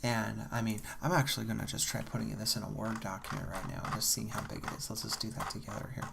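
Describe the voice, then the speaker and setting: With a relaxed tone, a man speaks at a medium pitch and lively intonation. Vocal fry runs through his voice. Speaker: math student / college graduate. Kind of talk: ASMR soft-spoken talk to camera about study techniques. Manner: soft-spoken, slow, relaxed.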